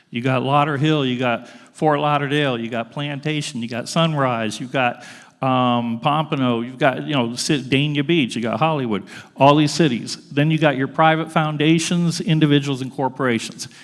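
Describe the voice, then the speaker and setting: A man's fairly high voice with fairly even intonation, amid audible room echo. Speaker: grant funding expert, panel speaker. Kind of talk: presentation to an audience. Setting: school auditorium with audience. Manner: fast.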